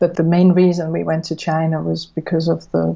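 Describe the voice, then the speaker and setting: A woman with a fairly low pitch and a dark, mellow, somewhat breathy tone speaks at a moderate pace. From Switzerland. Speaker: business co-founder. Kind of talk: interview. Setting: phone call.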